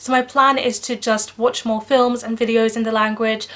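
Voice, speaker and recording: A woman's fairly high, monotone, flat voice at a fairly quick pace, with noticeable background noise. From Netherlands. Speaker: book vlogger. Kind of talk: casual vlog monologue.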